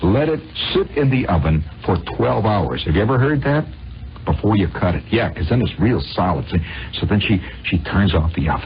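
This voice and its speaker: A man with a very deep, low pitch talks at a fairly quick pace, his pitch swinging very widely while his loudness stays very even. Long, frequent pauses break his speech over noticeable background noise. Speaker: radio monologist. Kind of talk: radio storytelling monologue. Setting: old radio broadcast recording. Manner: conversational, rambling.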